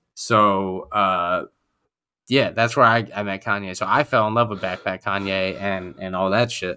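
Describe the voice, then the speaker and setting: An American-accented man at a fairly slow pace, fairly even in intonation, with a bright, sharp tone, on a very clean recording with a silent background. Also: fairly low pitch for a man. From New York. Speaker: podcast co-host. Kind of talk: casual chat.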